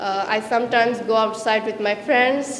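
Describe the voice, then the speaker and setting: Her voice sits at a fairly high pitch for a woman, with monotone, flat intonation. There is audible room echo and noticeable background noise. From Bangladesh, Chattogram. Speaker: language student. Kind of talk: practice interview. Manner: halting, with fillers.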